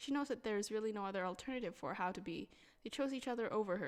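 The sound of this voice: The clip features an unforced reading voice.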